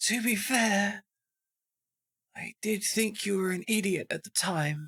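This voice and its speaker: A put-on character voice, raspy and fairly high-pitched, at a fairly slow pace. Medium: actual play.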